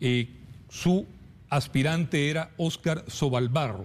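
A man's fairly high, somewhat breathy voice at a very slow pace, with ordinary pitch variation. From Costa Rica. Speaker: TV journalist; TV news presenter, interviewer. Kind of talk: news interview. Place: studio.

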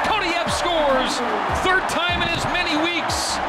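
Loud background noise runs through the clip. Over it, a man speaks at a moderate pace. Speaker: radio play-by-play announcer. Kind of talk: live sports radio play-by-play call. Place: booth.

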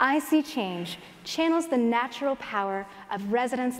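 Over light background noise, a woman speaks in a high pitch with ordinary pitch variation. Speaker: conference speaker. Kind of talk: prepared stage talk. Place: stage. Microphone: headset.

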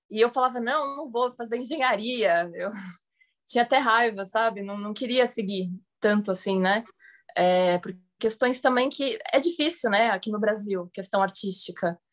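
A woman's speech, at a moderate pace with ordinary pitch variation, comes through against a quiet background. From Santos, São Paulo coast, Brazil; São Paulo, Brazil. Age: 20s. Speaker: actress and filmmaker, art dealer; actress. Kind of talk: interview. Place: home room. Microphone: video call.

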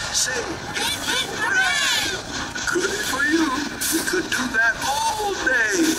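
Music plays in the background as a man speaks at a very slow pace. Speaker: ride narrator. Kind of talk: rhyming storybook narration.

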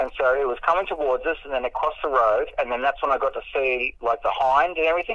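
At a very fast pace, a man speaks with an Australian accent. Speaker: mountain bike rider. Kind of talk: interview answer. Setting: phone line. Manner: casual, hesitant.

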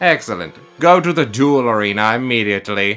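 A man's put-on character voice at medium pitch and a fairly quick pace, with faint music in the background. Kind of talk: fan manga dub.

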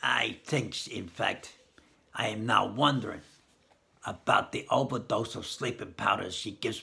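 A put-on character voice from a man, stern in tone and at medium pitch. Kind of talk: story reading aloud. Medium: read story. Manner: stern, severe. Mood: grim suspicious.

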